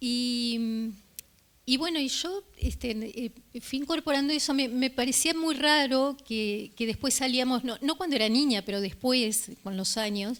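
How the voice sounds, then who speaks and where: With a Rioplatense accent, a woman speaks at a fairly slow pace in a high pitch with ordinary pitch variation. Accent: Rioplatense (voseo, yeísmo). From Uruguay (Río de la Plata). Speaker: journalist, book presenter. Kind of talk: public talk. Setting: live event with audience. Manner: hesitant, many fillers.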